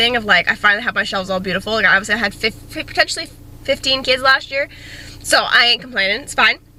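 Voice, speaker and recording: A woman rattles off her words very fast while noticeable noise fills the background. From Canada. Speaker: teacher vlogger. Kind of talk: casual vlog. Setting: classroom.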